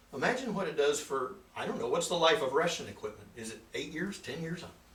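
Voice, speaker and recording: Very wide pitch swings mark speech at a very fast pace. There is audible room echo along with noticeable background noise. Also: man, high pitch for a man. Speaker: financial seminar presenter. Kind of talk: seminar presentation with Q&A.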